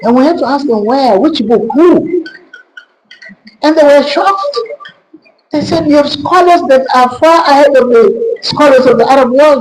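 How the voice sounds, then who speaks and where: An extremely high-pitched man's voice with lively intonation, very even loudness, a moderate pace, long and frequent pauses, and audible room echo. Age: 70s. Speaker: historian and retired pharmacist. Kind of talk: lecture.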